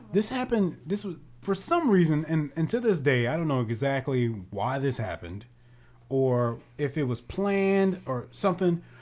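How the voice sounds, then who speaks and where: With very wide pitch swings, a man with a fairly high voice talks at a moderate pace. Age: 20s. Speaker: podcast co-host, actor and screenwriter. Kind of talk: casual chat.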